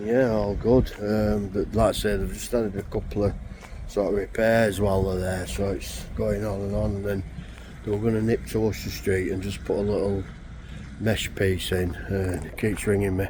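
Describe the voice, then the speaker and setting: A man speaks with fairly even intonation. Audible room echo and noticeable background noise surround him. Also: fairly low pitch for a man, moderate pace. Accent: Yorkshire. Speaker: fencing contractor. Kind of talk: casual vlog commentary.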